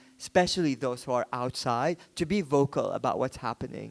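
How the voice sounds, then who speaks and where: A man with a non-native accent, fairly high-pitched, at a moderate pace with ordinary pitch variation, on a very clean recording with a silent background and a dry, close sound with no echo. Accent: noticeable foreign. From Yemen. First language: Arabic. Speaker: photographer and book publisher. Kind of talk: book presentation talk. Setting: art book fair stand. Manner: hesitant, with fillers and restarts.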